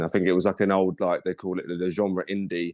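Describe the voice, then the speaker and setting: Very fast man's speech in a very deep, low pitch, with a southeast English accent and a quiet background. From Kent, southeast England. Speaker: model agent, podcast guest. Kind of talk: casual interview chat. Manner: casual, filler-heavy.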